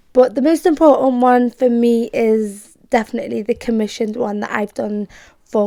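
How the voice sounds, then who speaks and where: A woman speaks in a Liverpool accent at a moderate pace, her tone dark and mellow and her pitch fairly high. Intonation stays fairly even, and the recording is very clean over a silent background. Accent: Scouse. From Liverpool, England. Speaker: poet and performance artist. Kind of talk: casual talk to camera. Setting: home bedroom.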